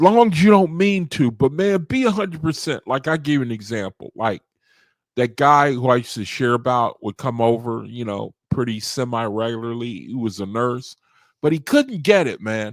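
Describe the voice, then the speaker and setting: In a plain, everyday voice, a man speaks at a medium pitch and moderate pace with lively intonation, in a dry, close sound with no echo on a very clean recording with a silent background. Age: 60s. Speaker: study group leader. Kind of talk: casual talk.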